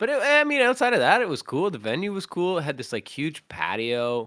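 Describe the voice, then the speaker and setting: A man's bright, sharp voice with a Canadian accent and very wide pitch swings, in a very clean recording with a silent background. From Canada. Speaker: vocalist and podcast host. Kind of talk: casual chat.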